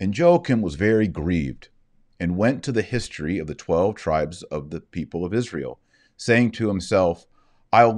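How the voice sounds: Big pitch swings run through a slightly mellow tone at a moderate pace. The recording is very clean, with a silent background. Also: man.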